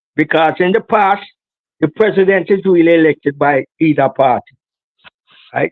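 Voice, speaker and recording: At a high pitch and a fairly quick pace, a man speaks with ordinary pitch variation. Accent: Jamaican. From Jamaica, inner city. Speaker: political activist. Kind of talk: interview. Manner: halting, many repeated words.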